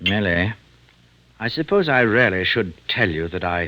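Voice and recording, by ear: A man's put-on character voice, low-pitched and fairly slow, with a bright, sharp tone and lively intonation.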